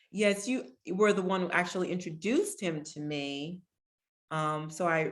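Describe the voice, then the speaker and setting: A woman with an American accent talks in a plain, everyday voice, fairly low in pitch, at a moderate pace with ordinary pitch variation. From Pennsylvania, Harrisburg. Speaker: artist. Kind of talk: artist talk.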